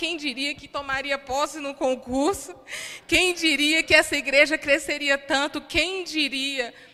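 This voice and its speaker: In a raised, projected voice, a woman speaks fairly slowly, her high pitch carrying a bright, sharp tone and fairly even intonation. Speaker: preacher. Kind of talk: sermon. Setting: church.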